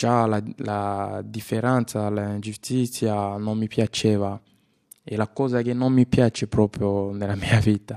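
Speaking very slowly in a flat monotone, a man with a dark, mellow tone and fairly low pitch sounds dry and close with no echo over a quiet background. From DR Congo, Kinshasa. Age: 20s. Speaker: refugee actor. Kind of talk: personal testimony.

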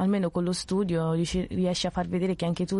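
A woman speaks in a monotone with flat intonation, her pitch fairly low. Her dark, mellow tone sits over a quiet background. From Italy, with childhood years in Ghana. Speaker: student. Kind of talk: testimony. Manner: halting.

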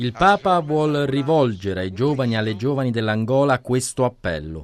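Pitched in the middle range, a man's voice makes very wide pitch swings. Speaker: podcast narrator. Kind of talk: scripted narration.

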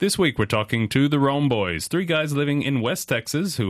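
A man's medium-pitched voice with vocal fry and lively intonation at a moderate pace, dry and close with no echo, on a very clean recording with a silent background. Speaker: radio host. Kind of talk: radio interview. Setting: studio.

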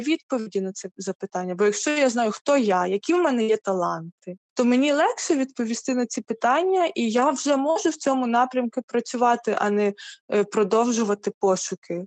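Recorded dry and close with no echo, a woman speaks at a high pitch and a moderate pace. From Ukraine. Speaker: church youth ministry worker. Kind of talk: interview.

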